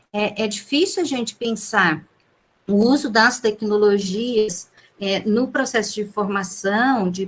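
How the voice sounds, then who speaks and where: Very slowly, a woman speaks at a fairly high pitch with ordinary pitch variation. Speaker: lecturer in teacher education. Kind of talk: online conference talk.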